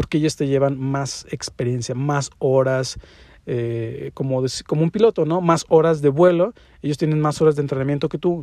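In a Mexican accent, a man speaks with a fairly high pitch and a dark, mellow tone, the sound dry and close with no echo. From Mexico. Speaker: podcast host and interior design teacher. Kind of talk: solo podcast monologue. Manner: casual with many fillers.

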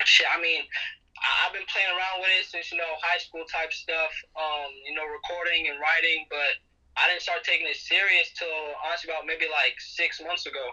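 The speaker is a man at a moderate pace. There is noticeable background noise behind him. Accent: American. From Fairfield, California (Bay Area). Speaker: rapper. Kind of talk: casual interview.

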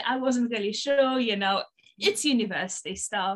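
A woman with a Polish accent speaks at a high pitch and a moderate pace. Her intonation is lively. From Poland. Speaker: binge eating coach. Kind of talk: interview.

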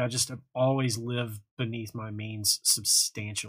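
A man speaks at a medium pitch and moderate pace, somewhat breathy, with fairly even intonation. The recording is very clean, with a silent background. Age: 30s. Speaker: musician and music marketing youtuber. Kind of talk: live stream Q&A. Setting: live stream. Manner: casual, filler-heavy.

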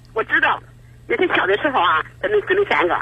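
Noticeable background noise fills the clip. A man speaks at a fairly quick pace. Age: 80s. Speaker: caller seeking advice. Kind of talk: call-in advice conversation. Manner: halting, repeats words.

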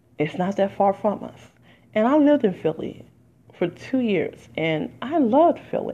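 Animated voice with vocal fry and very wide pitch swings at a moderate pace. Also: woman, medium pitch for a woman. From Detroit, US Midwest. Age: 40s. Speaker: podcast host and artist. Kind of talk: casual solo monologue. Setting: home recording with background music.

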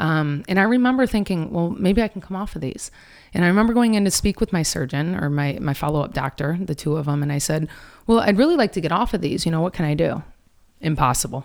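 A woman talks very fast in a Michigan accent. Her pitch is fairly low and her intonation is lively. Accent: Michigan American. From Detroit, Michigan. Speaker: wellness speaker and author. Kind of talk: casual interview.

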